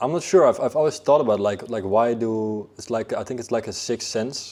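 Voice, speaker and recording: A man's medium-pitched voice with a Dutch accent, ordinary pitch variation and a fairly quick pace. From Netherlands, Amsterdam. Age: 20s. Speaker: fitness coach. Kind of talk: interview. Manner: halting, many fillers and repeats.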